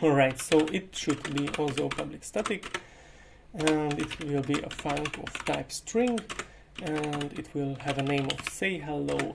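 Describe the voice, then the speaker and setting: With a Hungarian accent, a man speaks at a very slow pace and a fairly high pitch, his pitch varying in an ordinary way over noticeable background noise. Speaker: programming tutor. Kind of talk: tutorial. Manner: hesitant, many filler uhs.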